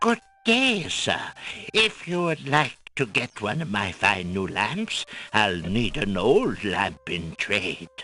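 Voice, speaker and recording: Faint music plays behind a man doing a put-on character voice at a fairly slow pace. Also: medium pitch for a man. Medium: video game. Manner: jovial, salesman-like.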